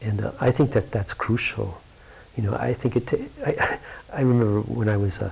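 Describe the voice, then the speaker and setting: A somewhat breathy man's voice at a medium pitch, fairly quick in pace but with long, frequent pauses and ordinary pitch variation. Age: 60s. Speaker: yoga teacher. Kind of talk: interview conversation. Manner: halting.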